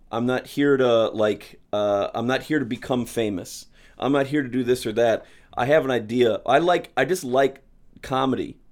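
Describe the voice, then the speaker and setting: In a Midwestern American accent, a man speaks at medium pitch with fairly even intonation, recorded very cleanly over a silent background. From St. Louis, Missouri. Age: middle-aged. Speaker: stand-up comedian and comedy show producer. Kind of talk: casual chat. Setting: in his home.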